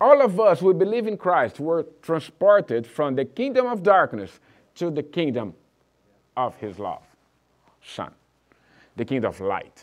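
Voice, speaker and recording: A man talks at a moderate pace with long, frequent pauses. His loudness swings a lot, and the background is quiet. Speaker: pastor. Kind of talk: sermon. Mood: warm, encouraging. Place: church.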